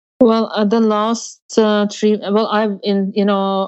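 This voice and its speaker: A woman with a Norwegian accent. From Norway. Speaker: polar explorer. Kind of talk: interview. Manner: halting.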